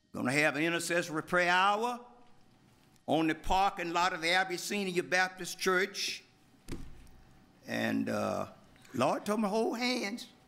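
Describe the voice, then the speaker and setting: A man with an Alabama accent speaks in a high voice with a bright, sharp tone. His pace is fairly slow, with ordinary pitch variation and long, frequent pauses. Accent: Southern US, Alabama. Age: 80s+. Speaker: pastor and civil rights leader. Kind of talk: public comment at council meeting. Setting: city council chamber.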